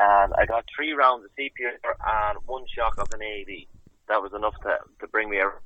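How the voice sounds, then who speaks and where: A man with an Irish Midlands accent, moderate pace and big swings in loudness. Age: 20s. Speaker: Gaelic footballer and coach. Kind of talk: interview.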